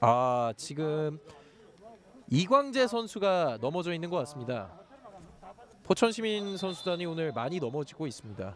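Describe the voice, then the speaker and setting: A man with a fairly high pitch speaks fairly slowly, pitch swinging very widely and pausing long and often, in a dry sound with no echo over light background noise. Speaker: football play-by-play caster; play-by-play commentator. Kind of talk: live commentary. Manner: formal.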